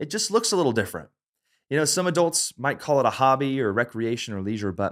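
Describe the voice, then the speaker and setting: A man talks in a Southern US accent, his pitch swinging very widely. The recording is very clean, with a silent background. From US South. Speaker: creativity and leadership coach. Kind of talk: educational talk to camera. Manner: casual, conversational.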